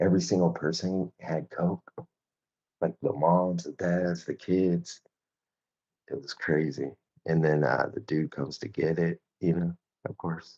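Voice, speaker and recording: A man's very deep, low-pitched voice at a fairly slow pace, with ordinary pitch variation, long, frequent pauses and a dry, close sound with no echo. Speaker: artist live-streamer. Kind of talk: casual live-stream chat while drawing. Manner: loud; casual, filler-heavy.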